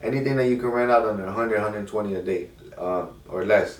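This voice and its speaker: A man speaks with fairly low pitch and fairly even intonation at a fairly quick pace. Some room echo is audible. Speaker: car rental business owner, YouTuber. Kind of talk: casual advice monologue. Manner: fast.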